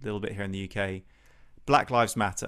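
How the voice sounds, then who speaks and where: On a very clean recording with a silent background, a man with a British accent speaks at a very fast pace and a fairly low pitch, with vocal fry and ordinary pitch variation. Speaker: podcast host, pro-life campaigner. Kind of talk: interview conversation.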